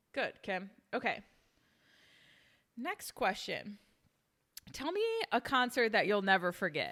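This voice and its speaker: A woman with an American accent speaks at a fairly high pitch and a fairly slow pace, leaving long, frequent pauses. Her tone is animated, bright and sharp, her intonation lively, and the recording is very clean with a silent background. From Cleveland, Ohio. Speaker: podcast host. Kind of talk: casual chat.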